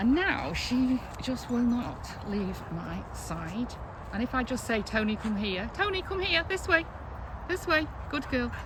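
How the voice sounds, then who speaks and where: Over noticeable background noise and audible room echo, a woman speaks at a fairly slow pace in a high pitch with very wide pitch swings. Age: 60s. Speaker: vlogger. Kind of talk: casual vlog monologue. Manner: chatty, with fillers.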